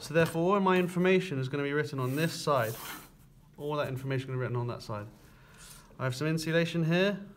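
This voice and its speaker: In a room with audible echo, a man with a fairly high pitch and ordinary pitch variation talks very fast, broken by long, frequent pauses. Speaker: construction drawing teacher. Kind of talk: tutorial.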